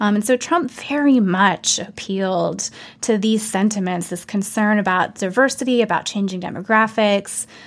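A woman speaks with an American accent in a normal speaking voice. Her pitch is medium and her pace moderate. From US South. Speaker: political science professor. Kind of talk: interview.

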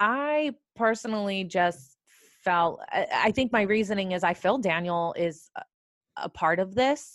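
A woman with an American accent and a plain, everyday voice speaks at a fairly slow pace with lively intonation. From California. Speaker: criminal defense attorney. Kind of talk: casual discussion.

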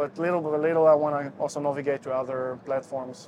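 Through noticeable background noise, a man speaks at a fairly high pitch and a fairly quick pace. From Russia and Israel. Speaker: ukulele teacher and musician. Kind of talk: casual interview chat.

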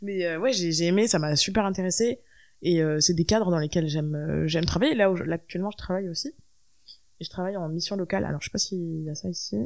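Recorded very cleanly against a silent background, a woman talks at a very fast pace, with fairly low pitch and ordinary pitch variation. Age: 20s. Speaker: musician. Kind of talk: interview. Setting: host's living room.

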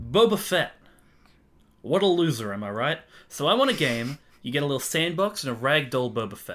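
A man speaks at a fairly high pitch with very wide pitch swings and a fairly quick pace. His speech has long, frequent pauses. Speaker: podcast co-host. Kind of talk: casual chat.

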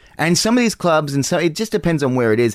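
Someone with an Australian accent speaks at a very fast pace in a very clean recording with a silent background. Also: man. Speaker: comedian. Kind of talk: casual chat. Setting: home garage studio.

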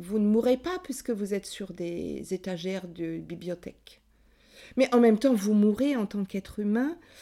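A woman's medium-pitched voice with a dark, mellow tone and ordinary pitch variation, at a fairly slow pace, on a very clean recording with a silent background. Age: 60s. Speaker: psychoanalyst and author. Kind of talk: testimony. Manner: passionate.

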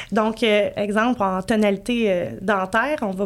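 This woman's voice is fairly high, with a Quebec accent and ordinary movement in pitch. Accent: Québécois French. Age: 30s. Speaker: emotional decoding practitioner, former entrepreneur. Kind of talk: podcast interview.

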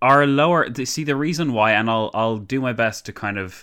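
A man with an Irish accent speaks at a moderate pace in a bright, sharp tone, his pitch varying in an ordinary way, on a very clean recording with a silent background. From Ireland. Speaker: political commentator. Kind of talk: casual chat.

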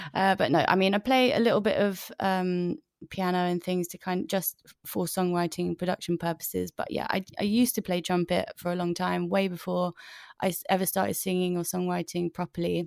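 A woman with a London accent speaks at a fairly quick pace, her medium pitch held to fairly even intonation. The recording is very clean with a silent background and a dry, close sound with no echo. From North London. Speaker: singer-songwriter. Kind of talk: casual interview chat.

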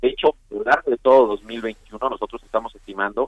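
This is a man speaking. He has a normal speaking voice at a medium pitch. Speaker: economic analyst. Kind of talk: interview.

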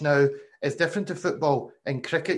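Very fast speech comes from a man with a Glasgow accent. His pitch is fairly high. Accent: Glasgow Scottish. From Glasgow, Scotland. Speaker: podcast host, former cricketer. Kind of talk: interview. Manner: hesitant, many fillers.

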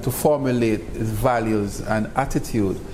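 Room echo is audible, with noticeable background noise. The male speaker's pitch varies in an ordinary way. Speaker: university college president. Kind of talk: interview.

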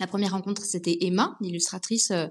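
The background stays quiet as a woman talks. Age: 30s. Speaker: literary agent. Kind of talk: interview. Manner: hesitant.

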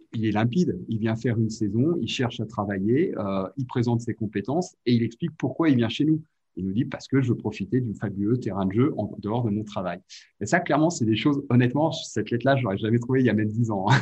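At a very fast pace, a man speaks at medium pitch with ordinary pitch variation and a dark, mellow, somewhat breathy tone. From Catalonia (French Catalan region). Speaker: ski resort director. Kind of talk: interview. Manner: halting, with repetitions.

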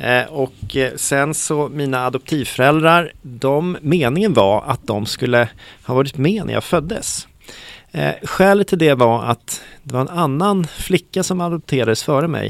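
In a normal speaking voice, a man talks fairly slowly with lively intonation and a fairly high pitch. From Stockholm, Sweden. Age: 40s. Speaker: city director. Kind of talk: interview conversation.

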